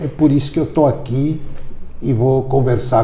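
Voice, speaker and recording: With audible room echo behind him, a man speaks at a medium pitch with lively intonation. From Brazil, São Paulo. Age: 70s. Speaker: orthopedic foot surgeon. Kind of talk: interview.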